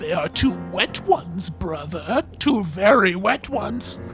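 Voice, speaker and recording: A man speaks in a put-on character voice at a fairly slow pace. Clear music plays in the background. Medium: actual play. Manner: terse, solemn.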